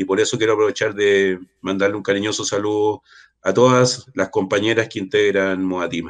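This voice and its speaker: A man's fairly low voice at a moderate pace, fairly even in intonation but with big swings in loudness, over a quiet background. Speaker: water rights activist and political candidate. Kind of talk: casual interview. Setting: online live stream. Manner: halting.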